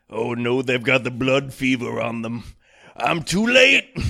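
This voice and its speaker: A man does a raspy, put-on character voice at a medium pitch. He speaks at a fairly slow pace with fairly even intonation. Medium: comedy sketch.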